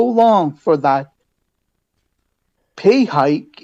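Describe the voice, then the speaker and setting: A man talks loudly at a very slow pace, his pitch high for a man and swinging very widely. His tone is dark and mellow. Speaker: public delegate at council meeting. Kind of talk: public delegation speech. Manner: halting.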